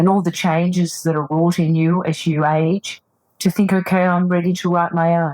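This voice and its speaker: A woman with a normal speaking voice talks at a moderate pace and a fairly low pitch. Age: 60s. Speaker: psychotherapist and author. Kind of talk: interview.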